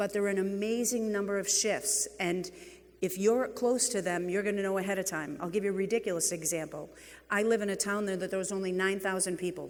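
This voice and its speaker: A woman speaks with a New England accent amid audible room echo. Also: medium pitch for a woman, fairly quick pace. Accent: New England (Boston-like) accent, noticeable. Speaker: real estate executive, keynote speaker. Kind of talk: conference keynote talk. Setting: stage with audience. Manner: animated.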